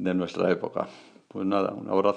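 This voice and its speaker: A man is speaking. The background is quiet. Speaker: podcaster. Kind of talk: casual vlog-style monologue.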